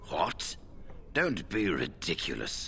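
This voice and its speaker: A man performs in a put-on character voice. Clear background noise runs behind him. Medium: video game. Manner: measured, dignified.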